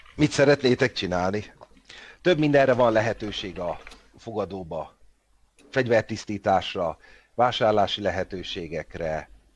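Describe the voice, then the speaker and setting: With long, frequent pauses, a man talks at a fairly slow pace and fairly low pitch, his intonation lively. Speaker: game master. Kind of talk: tabletop role-playing game session.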